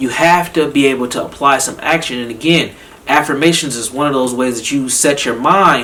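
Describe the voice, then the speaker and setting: A man with an American accent speaks at a fairly quick pace in an animated tone, with noticeable background noise. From Minnesota, Saint Paul. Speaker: psychotherapist. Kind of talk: motivational talk.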